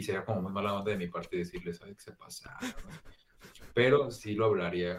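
A man talks fairly quickly in a fairly low-pitched voice. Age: 20s. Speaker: podcast co-host. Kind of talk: casual chat.

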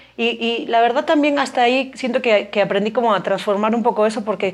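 A woman with a fairly high voice rushes through her words at a very fast clip, her pitch varying in an ordinary way. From Spain (Galicia). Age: 40s. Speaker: biologist and educator, mother. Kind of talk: casual interview.

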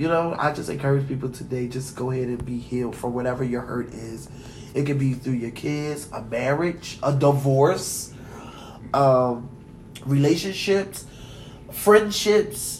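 There is audible room echo along with noticeable background noise. A man speaks at a fairly slow pace with ordinary pitch variation. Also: medium pitch for a man. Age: 30s. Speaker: podcast co-host. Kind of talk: casual chat.

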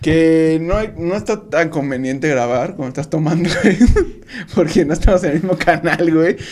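There is noticeable background noise as a fairly high-pitched man speaks at a moderate pace with ordinary pitch variation. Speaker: podcast co-host. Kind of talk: casual chat.

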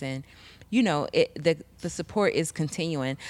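A woman's very deep, low-pitched voice at a fairly quick pace. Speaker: co-host of community TV talk show. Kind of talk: casual chat. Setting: studio.

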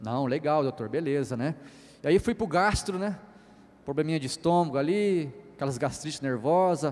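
Moderate speed, an animated tone, and pitch that varies in an ordinary way. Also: man, fairly high pitch for a man. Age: 40s. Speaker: pastor. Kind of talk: sermon.

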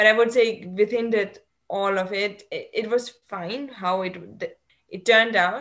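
A woman with a German accent at a fairly slow pace, her intonation fairly even and her loudness swinging widely. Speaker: postdoc researcher physicist. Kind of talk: interview conversation. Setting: video call. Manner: hesitant, disfluent.

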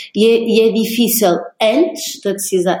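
A woman with a fairly high pitch and a dark, mellow tone speaks fairly slowly and somewhat breathily. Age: 30s. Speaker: podcast co-host. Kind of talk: interview conversation. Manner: halting, many repetitions.

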